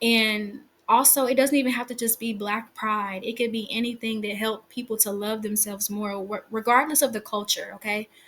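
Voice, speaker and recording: A woman speaks quickly in a fairly high, flat monotone with hardly any pauses. The recording is very clean, its background silent. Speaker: tarot reader. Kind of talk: tarot reading to viewers. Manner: fast; pauses often.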